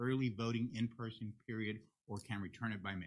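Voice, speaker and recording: The voice has a bright, sharp tone, fairly even intonation and a fairly quick pace. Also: man. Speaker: county election official. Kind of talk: courtroom testimony. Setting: courtroom. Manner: fast.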